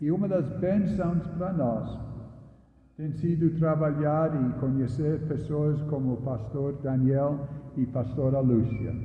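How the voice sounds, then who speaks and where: Very slow, fairly high-pitched male speech with ordinary pitch variation and audible room echo. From northeast England. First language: English (speaking Portuguese). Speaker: retired missionary pastor. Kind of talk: sermon. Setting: church.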